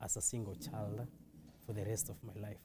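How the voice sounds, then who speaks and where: His fairly low voice has a dark, mellow tone and is somewhat breathy, the speaker being a man. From Kenya, Nairobi. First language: Kiswahili. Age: 20s. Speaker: testimony guest. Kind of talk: testimony. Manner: halting.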